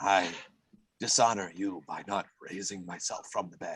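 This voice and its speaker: A raspy, put-on character voice at a moderate pace, with monotone, flat intonation and big swings in loudness. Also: man, fairly low pitch for a man. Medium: actual play. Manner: formal, honor-minded.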